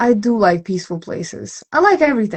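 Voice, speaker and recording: Somewhat breathy, the voice swings very widely in pitch and carries a Russian accent. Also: woman. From Siberia, Russia. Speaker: mixing engineer. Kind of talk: interview.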